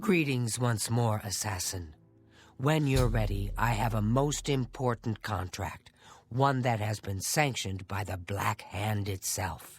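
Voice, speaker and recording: In a put-on character voice with a low pitch, the speaker goes at a fairly slow pace over faint background music. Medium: video game. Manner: measured, formal, menacing.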